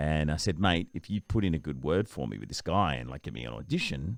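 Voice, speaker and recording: At a moderate pace, a man with an Australian accent, a very deep, low pitch and vocal fry speaks with lively intonation on a very clean recording with a silent background. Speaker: voice-over artist and TV presenter. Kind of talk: interview answer.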